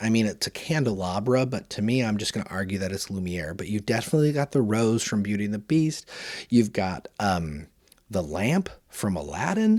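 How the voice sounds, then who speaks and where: On a very clean recording with a silent background, a man with a fairly low pitch speaks at a moderate pace in an animated tone with lively intonation. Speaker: toy reviewer podcast host. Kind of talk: solo review podcast.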